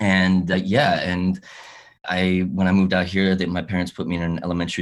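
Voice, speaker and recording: Recorded very cleanly against a silent background, a man with an American accent speaks at a moderate pace in a very deep, low voice. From California, US. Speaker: actor. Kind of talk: interview. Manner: halting, many repetitions.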